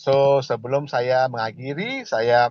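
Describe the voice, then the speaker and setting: A man speaks at a very slow pace. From Malaysia. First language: not Indonesian (speaking Indonesian). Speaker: company director presenting products. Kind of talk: product presentation. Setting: video call. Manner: halting, many fillers.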